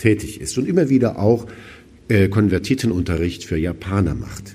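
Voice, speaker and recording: A man with a fairly low pitch and a dark, mellow, somewhat breathy tone speaks amid audible room echo. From West Germany. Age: 50s. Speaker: auxiliary bishop. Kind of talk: lecture. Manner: formal.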